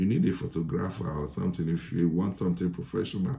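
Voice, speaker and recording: Very deep and low in pitch, a man talks at a fairly quick pace with a dark, mellow tone. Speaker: advice vlogger for immigrants. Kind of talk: casual advice talk.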